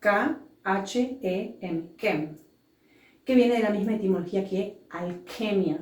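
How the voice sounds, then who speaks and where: A woman's medium-pitched voice in an Argentine accent, with ordinary pitch variation and audible room echo. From Argentina. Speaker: entrepreneur and business school director. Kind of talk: interview.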